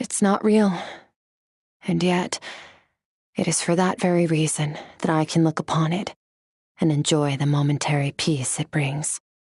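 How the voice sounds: A woman puts on a character voice, low-pitched with a slightly husky edge and a slightly mellow tone. She moves at a fairly slow pace, leaving long, frequent pauses. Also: fairly even intonation.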